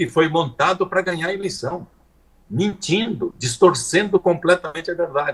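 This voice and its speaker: Showing vocal fry, a man talks at a fairly high pitch and a moderate pace. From Paraná, southern Brazil. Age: 70s. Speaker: politician. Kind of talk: live interview.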